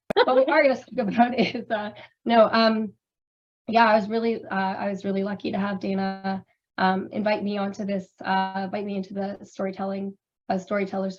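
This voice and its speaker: Somewhat breathy at medium pitch, a woman speaks at a moderate pace with big swings in loudness. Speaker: drag performer and curator. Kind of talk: panel discussion. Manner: halting, many fillers.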